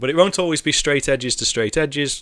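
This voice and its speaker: This is a man talking. He speaks with a Merseyside accent. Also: very clean recording, silent background. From northern England, near Liverpool. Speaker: programming streamer. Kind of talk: live coding stream chat. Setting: live stream. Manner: relaxed, hesitant with fillers.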